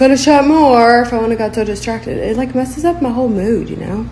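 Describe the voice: A woman talks at a fairly quick pace with a fairly high pitch, over clear background noise. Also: ordinary pitch variation.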